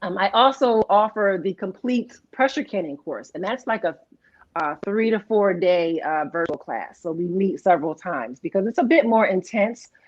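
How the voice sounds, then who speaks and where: A woman talks at a moderate pace in an unremarkable speaking voice of medium pitch. Her intonation is lively. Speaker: canning instructor. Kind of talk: interview.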